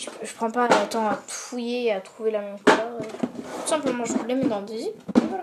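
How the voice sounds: A soft-spoken woman's voice with a fairly high pitch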